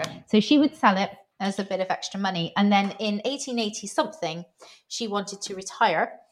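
Lively intonation marks a woman's speech, which sounds somewhat breathy. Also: medium pitch for a woman, moderate pace. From Bristol, southwest England. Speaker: food writer. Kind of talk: casual interview chat.

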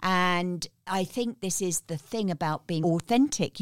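A woman with a British accent speaks at a fairly slow pace with ordinary pitch variation. The sound is dry and close, with no echo. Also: very clean recording, silent background. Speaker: guest coach and speaker. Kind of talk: storytelling interview.

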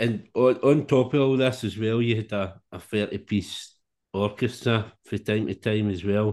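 With a Scottish accent, a man talks at a fairly slow pace at a medium pitch and ordinary pitch variation over a quiet background. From Scotland. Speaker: podcast host. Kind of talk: interview chat.

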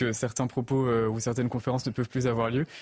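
Very fast and monotone, a man speaks with flat intonation. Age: young. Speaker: opinion columnist. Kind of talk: televised panel debate.

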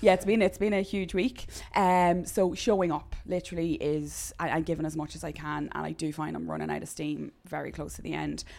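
A woman talks at a fairly quick pace with hardly any pauses, her loudness swinging widely. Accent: Irish. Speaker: gym coach. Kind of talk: casual chat.

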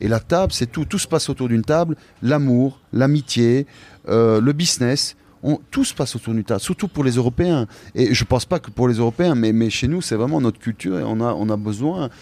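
At a fairly quick pace, a man with a dark, mellow tone and medium pitch speaks with lively intonation, the sound dry and close with no echo on a very clean recording with a silent background. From Belgium, Liège. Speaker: chef. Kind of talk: interview. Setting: restaurant dining room. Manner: halting.

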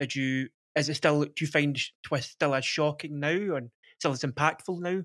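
A man with a Glasgow accent and a fairly high pitch speaks with fairly even intonation, the sound dry and close with no echo on a very clean recording with a silent background. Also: moderate pace. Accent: Scottish (Glasgow). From Scotland. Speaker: podcast host. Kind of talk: casual chat.

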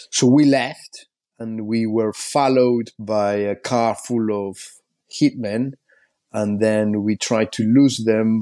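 Speaking very slowly with a Spanish accent, a man uses a medium pitch, a dark, mellow tone and fairly even intonation. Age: 40s. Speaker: journalist and documentary maker. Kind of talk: interview. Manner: halting.

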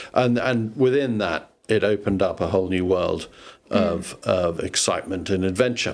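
With a southern English accent, a man speaks at a fairly low pitch and moderate pace with ordinary pitch variation. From southwest London, England. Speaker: former newspaper executive. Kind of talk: casual interview. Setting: host's house.

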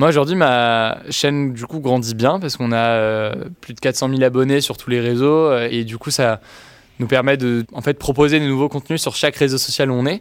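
An unremarkable speaking voice from a man of medium pitch, fairly even in intonation, at a moderate pace. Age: 20s. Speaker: youtuber. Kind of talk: interview.

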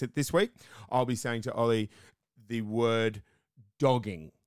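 Speaking with an Australian accent, a man keeps his voice at a medium pitch. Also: very clean recording, silent background. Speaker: podcast co-host. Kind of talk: casual chat. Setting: small hot room in a flat, under the stairs.

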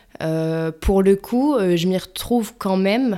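A woman at a very slow pace on a very clean recording with a silent background. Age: 20s. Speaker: digital project manager and co-founder. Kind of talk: interview. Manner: halting, many repetitions and fillers.

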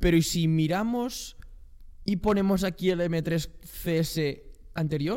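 A man with a high pitch and a dark, mellow tone speaks at a very slow pace with ordinary pitch variation. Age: young. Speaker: podcast co-host. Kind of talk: casual chat. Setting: new studio on sofas.

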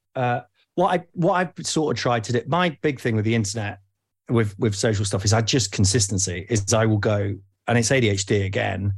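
In an East Midlands accent, a man speaks at a moderate pace with a fairly low pitch and lively intonation. His voice is somewhat breathy, and the recording is very clean with a silent background. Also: very even loudness. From Nottingham, England. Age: 40s. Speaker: podcast host. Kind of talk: casual chat.

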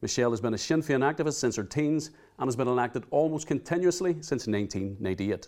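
A man talks very fast with a Northern Irish accent. His pitch is medium and his intonation lively. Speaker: podcast host. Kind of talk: interview. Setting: studio.

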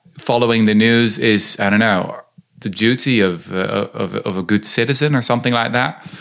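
A speaker with a Dutch accent talks at a moderate pace. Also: man. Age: young. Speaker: historian and author. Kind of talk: interview conversation.

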